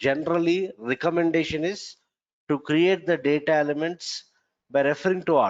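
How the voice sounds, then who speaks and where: A man's fairly high voice at a moderate pace, with ordinary pitch variation and long, frequent pauses. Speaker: software trainer. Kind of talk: lecture.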